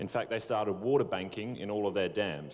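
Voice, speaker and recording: In an Australian accent, a man talks in a fairly low pitch with ordinary pitch variation. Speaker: water industry professional. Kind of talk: panel discussion.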